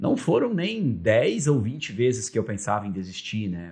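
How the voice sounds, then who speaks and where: This man's voice is somewhat breathy and sits at a medium pitch. His pace is fairly slow. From Vale do Taquari, southern Brazil (German-Brazilian rural area). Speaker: radio broadcaster and media executive. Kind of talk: interview conversation. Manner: halting, repeats words.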